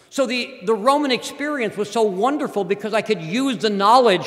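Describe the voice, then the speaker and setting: A man's high-pitched voice with lively intonation over noticeable background noise. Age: 60s. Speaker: professor. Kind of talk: speech.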